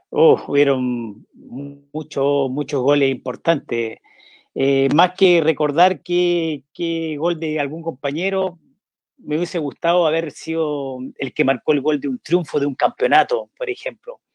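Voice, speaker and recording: A man's ordinary speaking voice, fairly high in pitch, with ordinary pitch variation. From northern Chile (Vallenar, La Serena). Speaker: former footballer. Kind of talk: interview.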